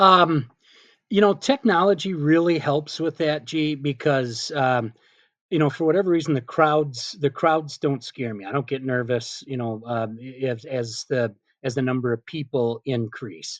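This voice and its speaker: A man with a plain, everyday voice speaks at a fairly slow pace and a fairly high pitch, with ordinary pitch variation and a dry, close sound with no echo. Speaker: PA announcer. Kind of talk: interview answer.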